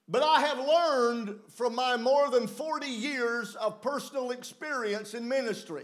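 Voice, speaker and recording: An extremely high-pitched man with a Southern US accent, at a very slow pace with hardly any pauses and ordinary pitch variation. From US South, mountain region. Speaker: preacher. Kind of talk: sermon with live interpretation.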